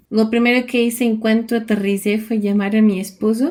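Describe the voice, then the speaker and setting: In a very clean recording with a silent background, a woman with a Portuguese accent speaks in a dark, mellow tone with fairly even intonation. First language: Portuguese (speaking Spanish). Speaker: vlogger. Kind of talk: personal storytelling.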